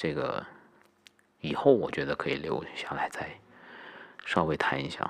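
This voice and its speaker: A man whispers. His pace is fairly slow. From Guangdong, China (Haifeng roots). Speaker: podcast host. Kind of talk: personal monologue.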